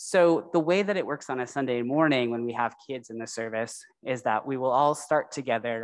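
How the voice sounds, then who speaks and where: The voice has a warm, animated tone and a fairly quick pace with hardly any pauses. The background is quiet. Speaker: religious educator for children. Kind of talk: story for children. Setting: church. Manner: warm and animated. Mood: warm, heartfelt. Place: church. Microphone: podium.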